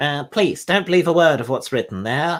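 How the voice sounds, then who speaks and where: A man does a squeaky, put-on character voice. It sits high in pitch and moves at a moderate pace. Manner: pleading.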